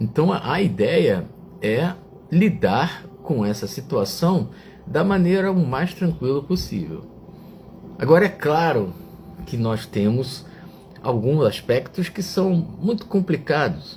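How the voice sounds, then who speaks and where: Over noticeable background noise, a man talks very slowly with long, frequent pauses and very wide swings in pitch. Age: 60s. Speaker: online reflection show host. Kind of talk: reflective talk to live chat viewers. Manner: hesitant, with fillers.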